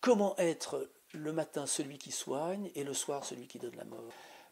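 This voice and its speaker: A man with a fairly high pitch and lively intonation has an unremarkable speaking voice. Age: 60s. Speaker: physician and party spokesperson. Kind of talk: political advocacy statement.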